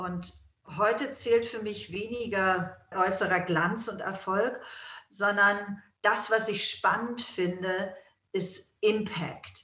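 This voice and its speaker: A woman's medium-pitched voice at a very slow pace, fairly even in intonation, with audible room echo. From Germany. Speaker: yoga school founder and teacher, author. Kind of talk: interview.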